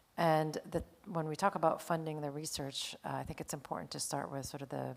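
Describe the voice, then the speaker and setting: The voice has vocal fry and an American accent and moves at a fairly quick pace. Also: woman, very deep, low pitch for a woman, fairly even intonation. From United States. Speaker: nonprofit AI organization representative. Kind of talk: panel discussion.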